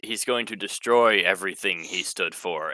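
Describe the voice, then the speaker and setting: Here a put-on character voice moves at a moderate pace. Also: man, medium pitch for a man. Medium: actual play.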